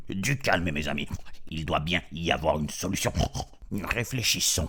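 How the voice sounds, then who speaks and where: Light background noise sits behind a man at a moderate pace. He uses a put-on character voice with a very deep, low pitch. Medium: read story.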